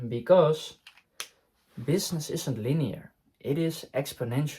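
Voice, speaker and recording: A somewhat breathy man's voice, fairly high in pitch, at a fairly slow pace. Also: ordinary pitch variation. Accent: non-native. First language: not English. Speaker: online business coach. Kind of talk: talking-head tutorial. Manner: hesitant, frequent fillers and restarts.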